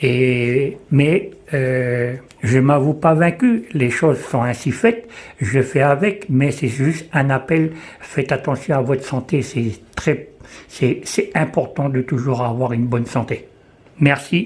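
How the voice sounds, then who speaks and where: A somewhat breathy man speaks at a very slow pace in a fairly high pitch. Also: ordinary pitch variation. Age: 60s. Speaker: visually impaired person giving testimony. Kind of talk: testimony. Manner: halting.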